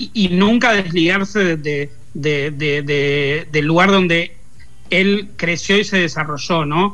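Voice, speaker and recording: Music is playing in the background. Over it, a man talks with ordinary pitch variation. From Argentina, Lanús (Buenos Aires province). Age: 40s. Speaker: pop culture commentator. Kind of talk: interview. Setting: remote call.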